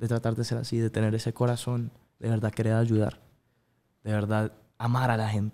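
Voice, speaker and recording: A man speaks with a dark, mellow tone. His intonation is monotone and flat. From Colombia (Bogotá), early childhood in Miami; Colombia. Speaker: singer; guest. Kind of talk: interview. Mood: relaxed, earnest. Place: studio. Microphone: studio mic.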